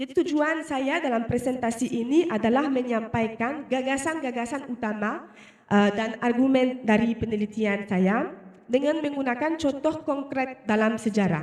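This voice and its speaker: A woman speaks with a non-native accent at a high pitch and moderate pace. Her pitch varies in an ordinary way over noticeable background noise. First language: not Indonesian (speaking Indonesian). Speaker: researcher. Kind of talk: research presentation. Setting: presentation with live and online audience. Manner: halting, many fillers.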